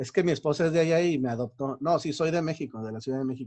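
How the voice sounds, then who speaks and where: Over a quiet background, a man with a Mexico City accent and a fairly high pitch speaks at a very fast pace. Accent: Mexico City accent, still noticeable. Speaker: university lecturer. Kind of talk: lecture. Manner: hesitant, many fillers.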